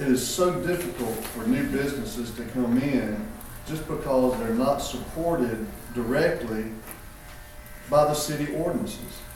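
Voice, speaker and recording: Over noticeable background noise and audible room echo, a man with a Southern US accent speaks fairly slowly at a medium pitch with lively intonation. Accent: Southern US (Georgia). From Milledgeville, Georgia, US South. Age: 60s. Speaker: local political candidate. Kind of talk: community forum remarks. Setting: community forum with audience.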